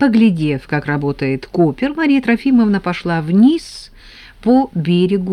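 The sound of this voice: An unforced reading voice heard throughout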